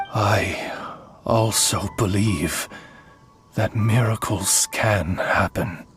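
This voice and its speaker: A man's put-on character voice at a very slow pace, full of long, frequent pauses, with clear music in the background. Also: fairly low pitch for a man. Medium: machinima. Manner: courteous.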